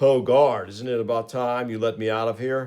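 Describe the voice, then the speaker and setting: A man's put-on character voice at a medium pitch, monotone and flat in intonation, at a moderate pace. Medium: read story. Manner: blunt, gruff.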